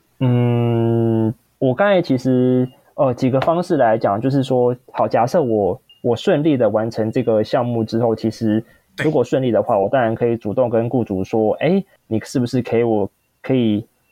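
A man's medium-pitched voice with a Taiwanese accent and very even loudness. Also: ordinary pitch variation, moderate pace. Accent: Taiwanese Mandarin. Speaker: freelance coach. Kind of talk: podcast interview.

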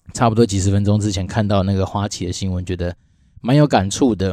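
Dark and mellow in tone, a man's voice moves along fairly quickly. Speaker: podcast host, former foreign-company employee. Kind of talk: solo podcast monologue. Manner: casual, many filler sounds.

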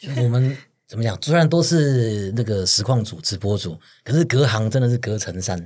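On a very clean recording with a silent background, a man at medium pitch speaks at a moderate pace, somewhat breathy, with lively intonation. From Taiwan, Pingtung. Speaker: podcast host. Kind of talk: casual chat. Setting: studio.

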